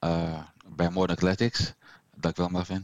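A man talks at a fairly slow pace with a very deep, low pitch. The very clean recording has a silent background and a dry, close sound with no echo. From Suriname heritage. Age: 50s. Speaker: heart attack survivor. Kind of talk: casual conversation. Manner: halting, repeats words.

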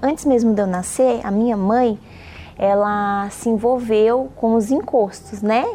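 The delivery is fairly slow, the intonation fairly even and the loudness very even, with noticeable background noise behind it. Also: woman, fairly high pitch for a woman. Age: 30s. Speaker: nursing student. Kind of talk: testimony.

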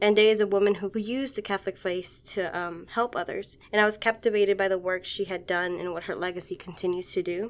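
In an American accent and a normal speaking voice, a woman talks at a medium pitch and a fairly quick pace on a very clean recording with a silent background. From Washington, D.C. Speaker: university student. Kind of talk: interview.

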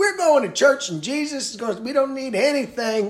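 A man performs a put-on character voice at an extremely high pitch. His pace is moderate. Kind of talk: preaching, sermonizing.

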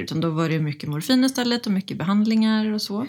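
A woman with a plain, everyday voice speaks at a fairly quick pace and medium pitch. Her intonation is lively, and the recording is very clean with a silent background. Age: 30s. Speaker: recovering alcoholic, sobriety influencer. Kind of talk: interview testimony.

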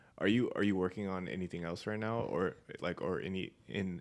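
Over a silent background in a very clean recording, a man talks at a fairly quick pace with a very deep, low pitch and fairly even intonation. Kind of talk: casual chat.

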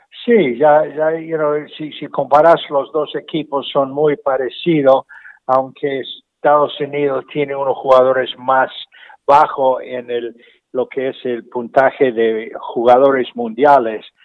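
A man speaks very slowly in a fairly high voice. His intonation stays fairly even. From Argentina. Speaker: golf professional and instructor. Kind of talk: interview. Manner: halting, frequent repetitions.

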